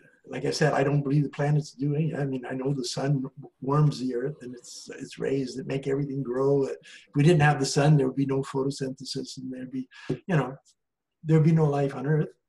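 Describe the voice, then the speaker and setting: A man with a fairly high pitch and a dark, mellow tone speaks fairly quickly in a flat monotone. His voice is somewhat breathy, and his loudness swings widely. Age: 70s. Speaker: astrologer. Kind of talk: interview conversation.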